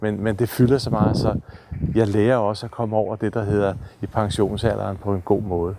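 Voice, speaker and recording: Over noticeable background noise, a man speaks in a flat monotone at a moderate pace and a fairly low pitch. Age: 60s. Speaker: therapy trek participant. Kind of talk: personal video diary. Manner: halting.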